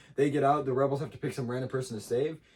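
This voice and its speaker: The man's voice lands at a medium pitch. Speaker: podcast host. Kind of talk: casual chat. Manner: fast.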